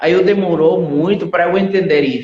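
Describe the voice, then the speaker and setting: A man with a Spanish accent speaks at a fairly slow pace with ordinary pitch variation. Room echo is audible. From Venezuela. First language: Spanish (speaking Portuguese). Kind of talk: testimony. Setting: live stream.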